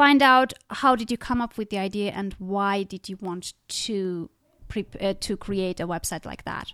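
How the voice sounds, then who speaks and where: A woman with a non-native accent speaks at a fairly high pitch with a bright, sharp tone and ordinary pitch variation. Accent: foreign-accented English. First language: not English. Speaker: podcast host and author. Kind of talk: interview.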